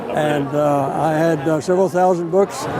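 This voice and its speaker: A man's voice amid noticeable background noise. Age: 90s. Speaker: WWII veteran and author. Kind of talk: casual interview. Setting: public event with passers-by.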